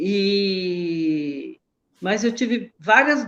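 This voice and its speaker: The speaker is a woman. Her pitch rises and falls in a lively way. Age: 70s. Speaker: breast cancer patient. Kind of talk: interview.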